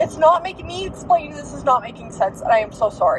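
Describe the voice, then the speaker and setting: A woman's voice with very wide pitch swings, over noticeable background noise. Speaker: diamond painting and book vlogger. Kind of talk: casual vlog monologue. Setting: in a car, driving. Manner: soft-spoken; rambling, hesitant.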